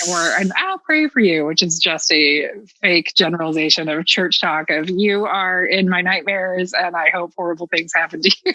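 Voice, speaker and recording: The speaker has a Southern US accent, ordinary pitch variation and a moderate pace. The sound is dry and close with no echo, though there is noticeable background noise. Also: woman, fairly low pitch for a woman. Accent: Southern American. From Southern United States. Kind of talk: casual podcast conversation. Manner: blunt.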